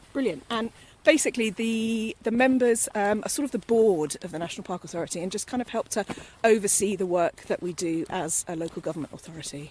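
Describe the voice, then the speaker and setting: A woman with a British accent talks at a very fast pace, her intonation lively. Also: medium pitch for a woman. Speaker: podcast presenter. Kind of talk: casual podcast conversation. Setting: outdoors at dusk.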